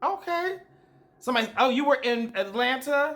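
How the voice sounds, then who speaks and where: Loud and bright, with a sharp tone, a man speaks in an American accent with lively intonation. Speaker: dating coach hosting a live dating show. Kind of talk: casual live-stream chat with viewers. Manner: loud, projecting voice; direct, animated.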